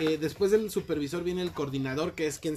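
A moderate pace over noticeable background noise. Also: man. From Mexico City. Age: 20s. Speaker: call center worker. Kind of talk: casual chat.

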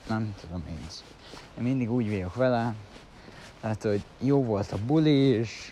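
Pitch varying in an ordinary way, a man talks very slowly. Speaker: vlogger. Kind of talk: casual monologue. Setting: outdoors, walking to train at dawn. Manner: rambling, halting.

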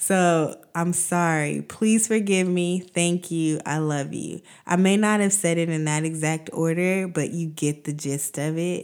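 In an American accent, a woman with a normal speaking voice talks at a fairly slow pace in a fairly low pitch, with fairly even intonation and hardly any pauses, on a very clean recording with a silent background. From United States. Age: 30s. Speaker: podcast host. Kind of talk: personal monologue.

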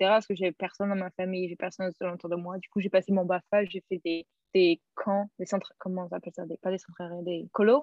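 A woman talks at a moderate pace in an ordinary speaking voice. Her intonation stays fairly even. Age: 20s. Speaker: former au pair. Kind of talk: interview.

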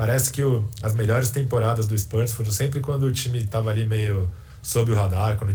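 With audible room echo, a man speaks at a fairly quick pace in a medium pitch, his somewhat breathy voice dark and mellow, his loudness very even and his intonation fairly even. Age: 30s. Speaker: sports journalist. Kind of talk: casual chat.

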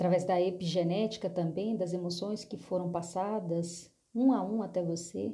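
A woman speaks fairly slowly in a somewhat breathy voice with a dark, mellow tone. Audible room echo is present. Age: 30s. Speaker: therapist. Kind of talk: solo monologue.

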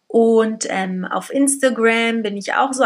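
A woman speaks at a very slow pace, with a fairly high pitch and fairly even intonation. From Berlin, Germany. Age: 30s. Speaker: podcast host, single mother. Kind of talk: casual monologue.

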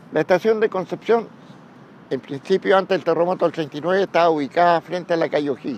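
Speaking fairly quickly in a Chilean accent, a man uses a high pitch with ordinary variation, recorded with a dry, close sound and no echo. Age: 80s+. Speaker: retired railway worker. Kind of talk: oral history testimony. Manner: halting, with repetitions.

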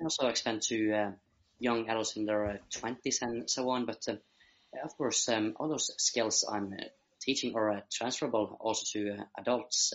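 A man with a Norwegian accent, medium pitch, fairly even intonation and a moderate pace. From Norway. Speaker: social entrepreneur, youth leadership guest. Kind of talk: interview conversation. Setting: video call. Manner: halting, with many fillers.

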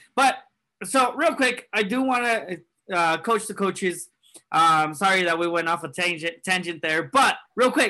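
Against a quiet background, a man's raised, projected voice moves at a moderate pace with lively intonation and a bright, sharp tone. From California. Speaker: soccer podcast co-host. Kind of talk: casual banter podcast.

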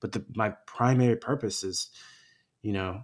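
A man with an American accent speaks in a normal speaking voice at a fairly low pitch, with fairly even intonation and a moderate pace, in a very clean recording with a silent background. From Los Angeles. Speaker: actor and activist. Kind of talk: casual interview.

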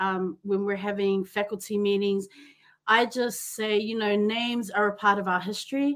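Bright with animation and enthusiasm, a woman with a New Zealand accent speaks at a fairly high pitch in a very clean recording with a silent background. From New Zealand, Auckland, Pacific Island family. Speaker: podcast host and teacher. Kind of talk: casual interview chat. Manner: animated, enthusiastic.

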